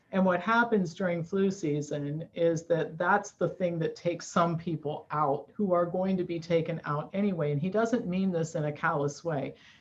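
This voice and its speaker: Fairly low in pitch, a woman speaks with ordinary pitch variation. Noticeable background noise is present. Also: moderate pace, hardly any pauses. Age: 60s. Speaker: nutrition expert and author. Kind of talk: interview. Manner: animated.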